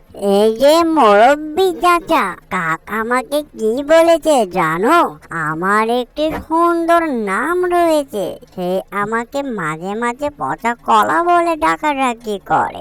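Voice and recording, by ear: This cartoonish character voice moves at a slow pace with few pauses, a fairly bright tone and big pitch swings. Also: woman, fairly high pitch for a woman.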